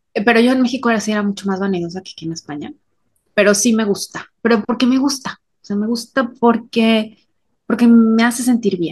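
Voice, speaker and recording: In a Mexican accent, a woman speaks at a fairly high pitch with ordinary pitch variation. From Mexico. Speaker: podcast co-host. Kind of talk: casual chat.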